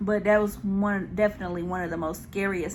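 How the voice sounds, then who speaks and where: Vocal fry runs through a woman's lively intonation at a moderate pace. Room echo is audible. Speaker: mukbang YouTuber. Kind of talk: casual Q&A while eating. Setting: home video recording with ring light.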